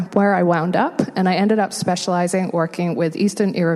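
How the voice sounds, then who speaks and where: A woman with a medium pitch talks at a very fast pace. Noticeable background noise is present. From England. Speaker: homelessness nonprofit worker. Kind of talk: interview.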